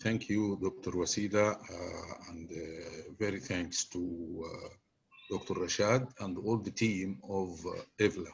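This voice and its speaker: Man with a fairly low pitch, somewhat breathy, at a very slow pace. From Egypt. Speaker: vascular surgery professor. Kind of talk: closing remarks. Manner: halting, many fillers.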